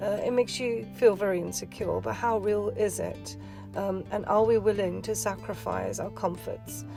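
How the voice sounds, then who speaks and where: A woman with a British accent speaks at a moderate pace over music in the background. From England, UK. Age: 50s. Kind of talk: casual talk to camera.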